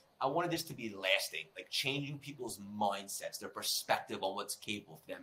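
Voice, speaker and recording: With a New York accent, a man speaks at a very fast pace in a medium pitch, his tone animated and his intonation lively. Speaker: personal development coach and speaker. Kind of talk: podcast interview.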